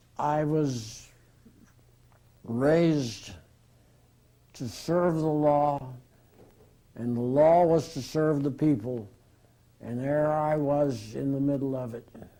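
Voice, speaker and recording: In a room with audible echo, a man with a dark, mellow tone and fairly high pitch speaks at a very slow pace with long, frequent pauses and ordinary pitch variation. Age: 80s+. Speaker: retired workers' compensation lawyer. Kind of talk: interview.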